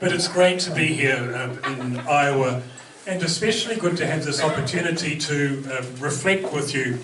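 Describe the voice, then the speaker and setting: With a New Zealand accent and ordinary pitch variation, a man speaks amid noticeable background noise and audible room echo. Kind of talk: talk to an audience. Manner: humorous, conversational with hesitations.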